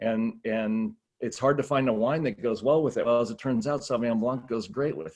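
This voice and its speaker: A man with an American accent at a medium pitch, fairly quick pace and ordinary pitch variation, over a quiet background. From Southern California. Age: 60s. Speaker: wine executive. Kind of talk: podcast interview.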